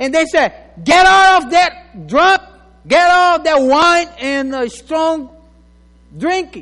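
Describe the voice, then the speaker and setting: The man's intonation is lively as he talks. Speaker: pastor. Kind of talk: sermon. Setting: church.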